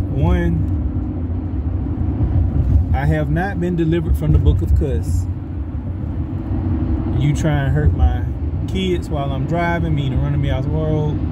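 A man talks at a fairly slow pace with ordinary pitch variation and long, frequent pauses. Loud background noise runs under his speech. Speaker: faith vlogger. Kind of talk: casual preaching vlog. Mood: reflective, earnest. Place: car. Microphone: phone near.

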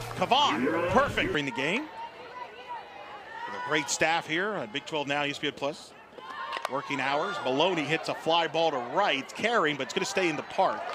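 The speaker's intonation is lively and the pace fairly slow. Noticeable background noise runs underneath. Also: man, high pitch for a man. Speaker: play-by-play sports commentator. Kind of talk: live sports commentary. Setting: broadcast booth at softball stadium.

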